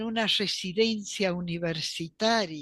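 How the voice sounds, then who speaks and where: Against a quiet background, a woman talks at a fairly slow pace with lively intonation and a bright, sharp tone. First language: Polish (speaking Spanish). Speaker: archivist and professor. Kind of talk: interview.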